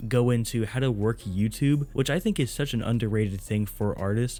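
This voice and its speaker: Music sits in the background as a man with a medium pitch talks at a moderate pace with ordinary pitch variation. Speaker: YouTuber giving music career advice to rappers. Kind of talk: casual ranking commentary to camera. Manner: laid-back, casual slang.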